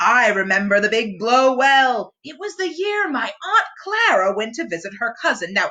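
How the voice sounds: A woman puts on a character voice, fairly high with big pitch swings. Her tone is bright and sharp. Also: moderate pace.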